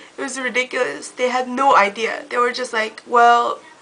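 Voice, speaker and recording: A woman with a high-pitched voice speaks at a fairly slow pace over noticeable background noise. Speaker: beauty vlogger. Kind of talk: casual talk to camera.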